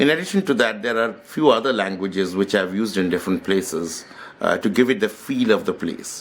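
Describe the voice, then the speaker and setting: A man speaks with a Bengali accent at a fairly quick pace. His pitch is fairly low and his intonation is lively. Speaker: author. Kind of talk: book talk. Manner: hesitant, with fillers.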